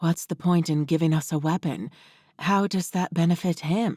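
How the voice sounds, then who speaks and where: A put-on character voice at a middle pitch, in a very clean recording with a silent background. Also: moderate pace. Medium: read story.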